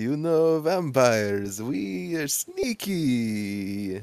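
A put-on character voice in a Transylvanian accent, pitched low to middle. It moves at a very slow pace. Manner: sneaky, theatrical.

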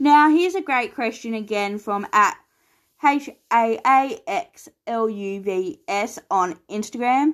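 A woman with an Australian accent talks very slowly at a fairly high pitch with lively intonation, on a very clean recording with a silent background. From Tasmania, Australia. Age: 20s. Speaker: podcast host. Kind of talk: solo podcast Q&A monologue.

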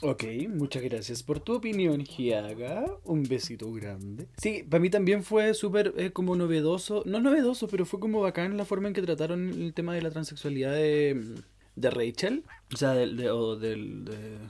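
A man with a Chilean accent speaks at a moderate pace in a fairly high pitch, his dark, mellow tone rising and falling through very wide pitch swings. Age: 20s. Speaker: podcast host. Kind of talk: casual chat. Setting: home recording.

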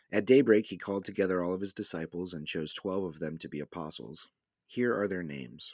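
Very deep, low male voice, close and dry without echo, on a very clean recording over a silent background. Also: ordinary pitch variation. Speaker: pastor and podcast co-host. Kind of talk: casual discussion about discipleship.

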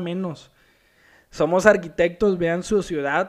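Against a quiet background, a man talks in a high pitch with fairly even intonation. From Mexico, Culiacán (Sinaloa). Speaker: architect and podcast host. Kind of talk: solo podcast talk.

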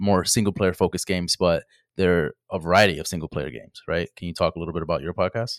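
A man with a very deep, low pitch and ordinary pitch variation speaks at a very fast pace, with big swings in loudness. The sound is dry and close with no echo, on a very clean recording with a silent background. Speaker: podcaster.

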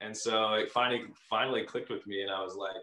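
Talking at a very fast pace, a man speaks in an American accent. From California. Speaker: professional volleyball player. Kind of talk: casual interview.

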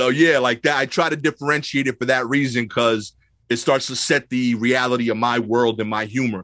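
Against a quiet background, a man talks at a fairly quick pace with a medium pitch, fairly even intonation and a bright, sharp tone. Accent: New York. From Brooklyn, New York (East New York). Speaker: stand-up comedian. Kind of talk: casual chat.

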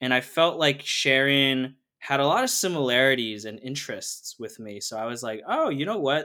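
A man with an American accent, medium-pitched with a bright, sharp tone, at a moderate pace with ordinary pitch variation, on a very clean recording with a silent background. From US Northeast. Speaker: product designer. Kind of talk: casual chat.

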